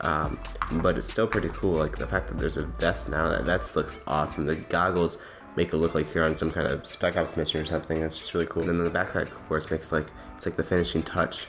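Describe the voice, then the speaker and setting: Against music in the background, a man talks at a very fast pace in a very deep, low voice with ordinary pitch variation. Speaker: gaming YouTuber. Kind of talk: game mod review. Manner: casual with many fillers.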